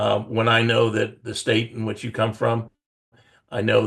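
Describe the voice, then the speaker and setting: There is vocal fry in this man's medium-pitched voice as he talks at a moderate pace. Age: 70s. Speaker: life insurance broker. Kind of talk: video call discussion.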